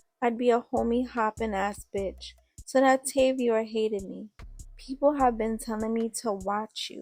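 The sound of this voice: The voice reads without any strain. Its pitch moves in a fairly even line.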